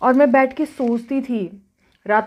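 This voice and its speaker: A woman speaks with a slight non-native accent. Her intonation is fairly even. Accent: slightly non-native Hindi. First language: not Hindi (speaking Hindi). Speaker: mukbang vlogger. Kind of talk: casual chat while eating.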